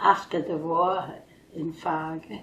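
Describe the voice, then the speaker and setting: A woman with a German accent, at a very slow pace. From Germany. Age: 80s+. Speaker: retired nurse. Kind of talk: interview answer.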